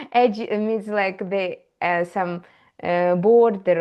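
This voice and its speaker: A woman with a strong Eastern European accent talks at a very slow pace. Her intonation is fairly even. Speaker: AI educator. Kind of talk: tutorial. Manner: halting, many fillers.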